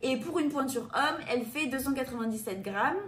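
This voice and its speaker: A woman with a high pitch is heard over noticeable background noise. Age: 20s. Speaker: running shoe reviewer. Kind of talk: product review presentation.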